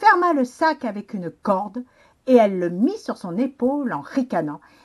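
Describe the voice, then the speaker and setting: Against a quiet background, a woman with a fairly high pitch talks at a moderate pace, her pitch swinging very widely and her loudness shifting a lot. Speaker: children's librarian. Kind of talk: storybook narration for children.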